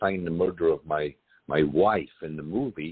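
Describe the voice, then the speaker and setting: Here is a man. His pitch is very deep and low. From Scotland. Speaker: actor and film producer. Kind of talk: interview answer.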